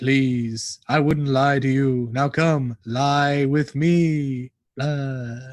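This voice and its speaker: In a put-on character voice, a man speaks very slowly at a medium pitch against a quiet background. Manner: spooky.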